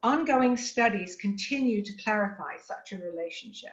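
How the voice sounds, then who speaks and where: Somewhat breathy and fairly high-pitched, a woman with an English accent speaks at a moderate pace with ordinary pitch variation. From England. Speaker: nutrition specialist. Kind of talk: lecture. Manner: formal.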